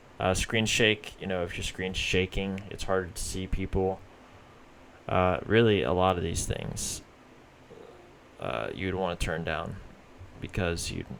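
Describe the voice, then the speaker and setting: This man speaks at a very deep, low pitch. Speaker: gaming youtuber. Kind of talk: tutorial. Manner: halting, stuttering.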